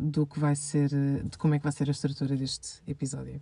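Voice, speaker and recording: A woman speaks in a very deep, low pitch with a dark, mellow tone. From Portugal, Lisbon. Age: 20s. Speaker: podcast host, master's student. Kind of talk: casual personal monologue. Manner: rambling with fillers.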